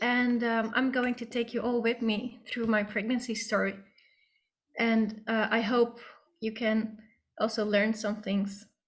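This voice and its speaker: A woman's fairly high, somewhat breathy voice, fairly slow in pace, with monotone, flat intonation. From Netherlands. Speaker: patient advocate. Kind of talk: testimony.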